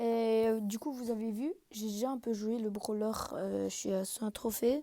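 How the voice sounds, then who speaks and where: Her intonation fairly even, a woman speaks in a fairly high voice with a dark, mellow tone. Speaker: gaming youtuber. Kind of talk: live gameplay commentary. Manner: halting, many filler sounds.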